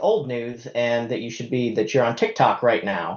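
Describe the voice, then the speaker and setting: The speaker is a man. He talks at a moderate pace. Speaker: university IT department head. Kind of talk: conference presentation. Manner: hesitant, many fillers.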